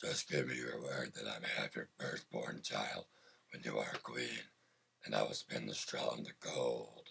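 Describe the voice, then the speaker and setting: Using a raspy, put-on character voice, a man talks at a moderate pace. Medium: read story.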